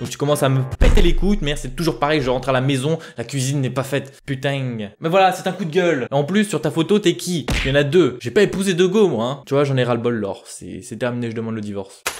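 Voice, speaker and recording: A man speaks very fast with hardly any pauses, his voice fairly high in pitch. His tone is animated and his intonation lively. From France. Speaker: youtuber. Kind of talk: casual FAQ vlog.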